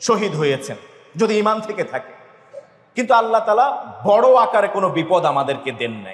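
Against noticeable background noise and audible room echo, a man speaks at a high pitch. His intonation is lively, with big swings in loudness. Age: 40s. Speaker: imam preacher. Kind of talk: Friday sermon.

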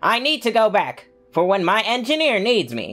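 An enthusiastic, put-on character voice at a fairly high pitch moves at a moderate pace over faint music in the background. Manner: enthusiastic, exclamatory, formal robotic.

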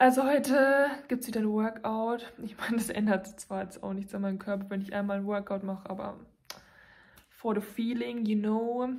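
A woman talks at a moderate speed, her intonation fairly even, with little heard in the background. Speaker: vlogger. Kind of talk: casual vlog chat. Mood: cheerful, chatty. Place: home room. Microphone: phone near.

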